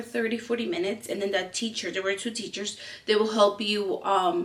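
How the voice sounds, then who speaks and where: This woman speaks with a Spanish accent at a fairly quick pace. Her pitch is fairly high, and there is noticeable background noise. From Peru. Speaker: lifestyle vlogger. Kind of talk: personal storytelling vlog. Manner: hesitant, many fillers.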